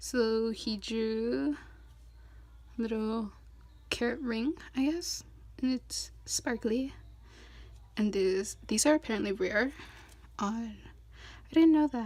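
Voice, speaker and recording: The speech moves at a very slow pace, broken by long, frequent pauses. The recording is very clean, with a silent background. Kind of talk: casual unboxing talk to camera. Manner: chatty, upbeat.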